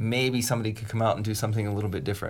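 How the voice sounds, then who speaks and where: Somewhat breathy speech with an American accent comes through on a very clean recording with a silent background. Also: man. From US, Pittsburgh. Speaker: podcast co-host, music producer. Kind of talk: casual chat.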